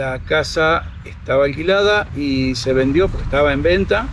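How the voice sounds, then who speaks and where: A man speaks against noticeable background noise. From Argentina, Buenos Aires province. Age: 60s. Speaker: motorhome traveler. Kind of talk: interview.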